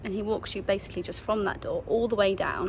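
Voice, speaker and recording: With noticeable background noise behind her, a woman talks at a very fast pace in an English accent. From England. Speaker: travel vlogger. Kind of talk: casual vlog talk to camera.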